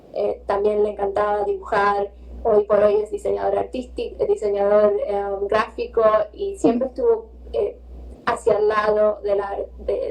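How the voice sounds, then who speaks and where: Noticeable background noise runs under a woman's speech. She talks at a fairly slow pace with a Rioplatense accent. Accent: Rioplatense Spanish (Argentine). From Argentina, Buenos Aires. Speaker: visual artist. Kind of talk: interview.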